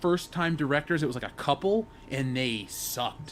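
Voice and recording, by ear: A man speaks at a moderate pace with a fairly high pitch. His intonation is lively.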